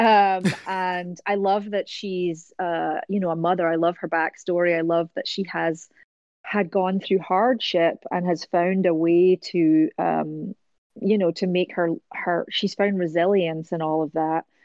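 Speaking at a fairly slow pace, a woman with a Scottish accent uses a fairly low pitch and fairly even intonation. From Scotland. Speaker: voice actor. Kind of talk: interview.

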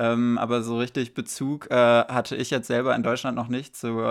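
On a very clean recording with a silent background, a man talks at a moderate pace with a medium pitch and a monotone, flat intonation. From Germany, small town. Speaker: podcast host. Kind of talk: casual interview.

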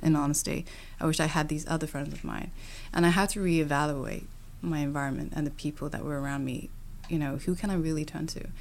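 A woman's very deep, low voice with an American accent, at a very fast pace with fairly even intonation. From UK. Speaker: podcast host. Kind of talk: interview conversation. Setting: indoor venue recording.

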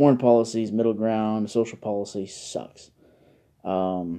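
At a fairly slow pace, a man speaks with a fairly low pitch and fairly even intonation. His tone is dark and mellow. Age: 20s. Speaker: political podcast host. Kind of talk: casual solo monologue. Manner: halting, many filler words.

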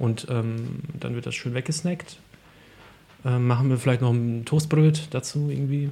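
A man talks at a fairly slow pace with long, frequent pauses, his somewhat breathy voice dark and mellow in tone, at a medium pitch with fairly even intonation. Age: 30s. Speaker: podcast host. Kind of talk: casual chat.

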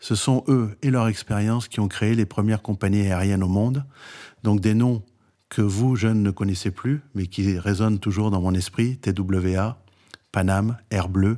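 A man talks at a fairly slow pace with fairly even intonation, using an unremarkable speaking voice. His pitch is fairly low. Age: 60s. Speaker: entrepreneur and startup advisor. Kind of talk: interview.

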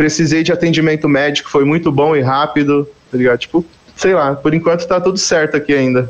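Fairly high pitch for a man, very even loudness and a fairly quick pace, with noticeable background noise. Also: fairly even intonation. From Greater São Paulo (Carapicuíba). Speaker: musician. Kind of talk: casual chat.

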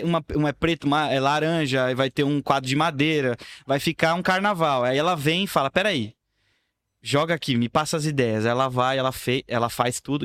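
On a very clean recording with a silent background and a dry, close sound with no echo, a man speaks in an ordinary speaking voice at a fairly quick pace, his fairly high pitch showing ordinary variation. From São Paulo, Brazil. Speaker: videomaker. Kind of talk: casual chat. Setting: studio.

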